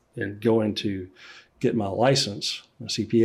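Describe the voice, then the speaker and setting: At a fairly slow pace, a man with a Louisiana accent speaks at a fairly low pitch with monotone, flat intonation. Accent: Louisiana Southern US. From Central Louisiana. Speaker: accountant and business owner. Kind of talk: podcast interview.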